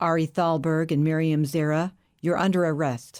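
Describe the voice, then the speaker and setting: A woman uses a put-on character voice, very deep and low. She speaks quietly in a flat monotone. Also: moderate pace. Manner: quiet, ominous.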